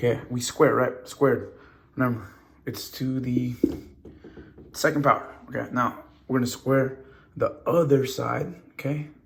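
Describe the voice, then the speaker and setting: There are long, frequent pauses as a man speaks in audible room echo. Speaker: math teacher. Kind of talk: lecture. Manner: fast; animated.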